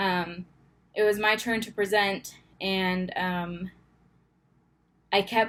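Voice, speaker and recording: A woman speaks at a medium pitch in a very clean recording with a silent background. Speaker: grad student vlogger. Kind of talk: personal vlog confession. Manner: halting, many fillers.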